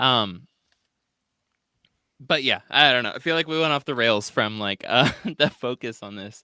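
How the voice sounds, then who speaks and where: Recorded very cleanly against a silent background with a dry, close sound and no echo, a man with a Midwestern accent speaks at medium pitch and a moderate pace, his bright, sharp tone showing ordinary pitch variation, big swings in loudness, and long, frequent pauses. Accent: Midwest accent (self-described). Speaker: podcast host. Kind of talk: casual chat. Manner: filler-heavy, hesitant.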